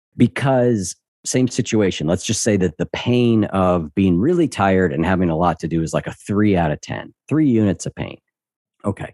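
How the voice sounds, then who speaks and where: A man with an unremarkable speaking voice speaks at a fairly low pitch and a moderate pace. His intonation is lively, in a very clean recording with a silent background. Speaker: podcast host and behavior coach. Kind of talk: casual interview chat.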